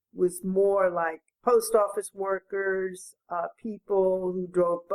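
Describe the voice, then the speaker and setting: A woman with an American accent speaks at a very slow pace and medium pitch. The sound is dry and close, without echo. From New York and Baltimore. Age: 80s+. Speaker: retired educator. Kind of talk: interview answer.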